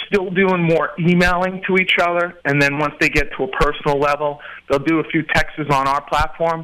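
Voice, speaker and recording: This man's voice is high-pitched and bright and sharp in tone, with fairly even intonation and a moderate pace. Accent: American. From Queens, New York. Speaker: website owner and entrepreneur. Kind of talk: casual interview chat.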